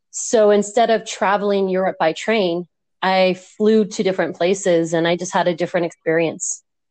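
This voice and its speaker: With an ordinary speaking voice, a woman talks at medium pitch and a moderate pace, her intonation fairly even. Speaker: junior high teacher. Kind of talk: casual interview. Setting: remote recording via app.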